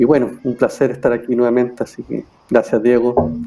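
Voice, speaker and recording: At a moderate pace, a man with medium pitch speaks in a normal speaking voice. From Chile, Santiago. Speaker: mediator and facilitator. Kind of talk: panel discussion.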